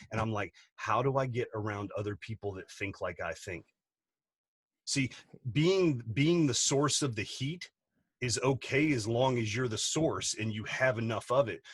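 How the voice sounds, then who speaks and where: At a moderate speed, a somewhat breathy voice rises and falls with ordinary pitch variation. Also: man, medium pitch for a man. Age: 40s. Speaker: business coach and entrepreneur. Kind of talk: podcast interview. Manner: animated.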